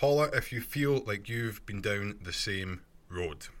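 This is a man with a Scottish accent. His pitch variation is ordinary. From Scotland. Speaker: podcast host. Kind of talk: solo podcast monologue, casual and self-help. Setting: home recording, bedroom under a duvet. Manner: conversational, earnest, motivational.

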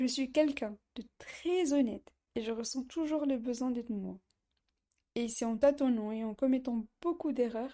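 Fairly slow and fairly even in intonation, a woman speaks with a high pitch in a dark, mellow tone. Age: 20s. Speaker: podcast host, student. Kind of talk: casual monologue.

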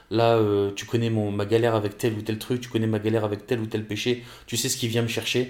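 Medium-pitched man at a fairly quick pace, his intonation monotone and flat. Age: 20s. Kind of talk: casual faith talk. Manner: halting.

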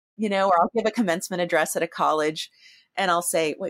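A woman with an ordinary speaking voice at a medium pitch and a fairly quick pace, dry and close with no echo. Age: 50s. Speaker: artist. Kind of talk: interview conversation.

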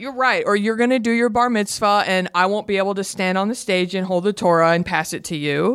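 A woman with a slight Southern US accent talks at a fairly quick pace with hardly any pauses, using a medium pitch and ordinary pitch variation. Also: very clean recording, silent background. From Texas, Garland (Dallas suburb). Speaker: podcaster. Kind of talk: casual chat.

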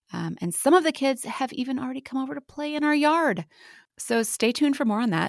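Very clean, with a silent background, this recording has a woman speaking at a fairly quick pace. Her high pitch swings very widely. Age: 30s. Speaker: podcast host and writer. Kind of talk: casual chat.

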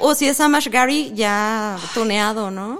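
A woman's fairly high voice at a very slow pace. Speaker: podcast co-host. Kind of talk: casual chat.

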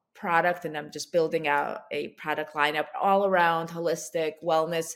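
A woman with an unremarkable speaking voice, fairly low in pitch and fairly even in intonation, is heard in a very clean recording with a silent background. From US (moved from Ukraine at age seven). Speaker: founder of a baby wellness brand, author. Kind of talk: podcast interview.

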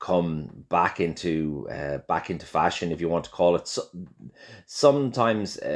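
In a very clean recording with a silent background, a man with a Dublin accent speaks in a very deep, low voice. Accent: Irish (Dublin). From Ireland, Dublin. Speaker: chef and restaurateur. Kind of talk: interview. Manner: halting, many fillers and repetitions.

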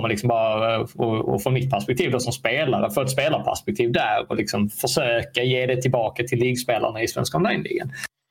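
Music plays behind a man speaking at a medium pitch. His pace is moderate and his pitch varies in an ordinary way. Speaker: league founder. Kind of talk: casual podcast interview.

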